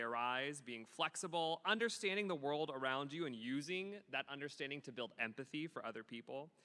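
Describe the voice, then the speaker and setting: The voice is loud, with a bright, sharp tone and lively intonation at a fairly quick pace. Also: man. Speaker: middle school theater teacher. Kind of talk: award ceremony speech. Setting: school ceremony with audience. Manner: animated.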